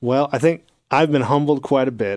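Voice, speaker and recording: With an American accent and fairly even intonation, a man speaks against a quiet background. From Texas. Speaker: university dean. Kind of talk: casual interview.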